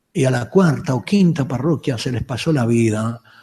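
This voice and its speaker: This man has a medium pitch and a dark, mellow tone that is somewhat breathy. He talks at a moderate pace with ordinary pitch variation. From Uruguay, Montevideo. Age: 70s. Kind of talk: lecture. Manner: halting, with frequent restarts.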